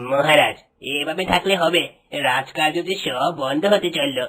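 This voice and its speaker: A man puts on a raspy, cartoonish character voice. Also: fairly high pitch for a man, moderate pace, ordinary pitch variation. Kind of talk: formal courtly speech.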